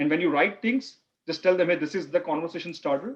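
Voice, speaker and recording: A man talks at a moderate pace. His pitch is fairly high, with ordinary pitch variation. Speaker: business analysis instructor. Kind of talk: online class. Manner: loud.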